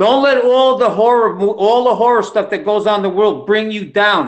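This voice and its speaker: A man talks with an American accent in a high pitch. Behind him the background is quiet. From New York. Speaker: retired engineer; guest. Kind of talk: self-introduction on video call. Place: home room. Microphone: video call.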